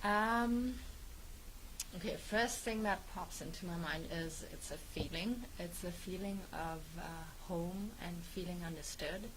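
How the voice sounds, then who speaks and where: With a German accent, a woman talks at a fairly slow pace amid noticeable background noise and audible room echo. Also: medium pitch for a woman, ordinary pitch variation. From Germany. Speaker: guest, radio host. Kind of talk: casual interview chat. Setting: studio, live on Facebook.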